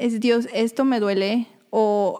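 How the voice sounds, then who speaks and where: Her dark, mellow tone sits at a fairly high pitch for a woman, with ordinary pitch variation. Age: 20s. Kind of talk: faith-based casual chat.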